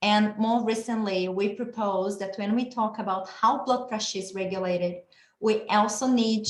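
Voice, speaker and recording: A woman with a Brazilian accent speaks at a medium pitch and a moderate pace. Her voice is somewhat breathy, with fairly even intonation. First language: Portuguese. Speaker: geneticist and researcher. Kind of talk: lecture.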